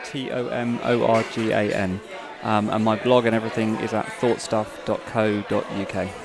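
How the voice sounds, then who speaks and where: Crowd noise sits in the background as a man talks with audible room echo. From UK. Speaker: tech blogger and community reporter. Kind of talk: casual interview. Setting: conference event.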